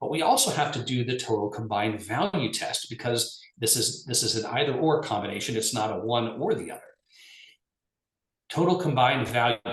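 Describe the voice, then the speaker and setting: Fairly quick, somewhat breathy male speech, mid-pitched, with everyday pitch movement. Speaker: lawyer presenting on regulation. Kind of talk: webinar presentation. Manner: fast.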